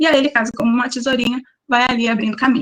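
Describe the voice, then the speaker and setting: A woman speaks in a high pitch. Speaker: biology teacher. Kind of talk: online lecture. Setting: online class.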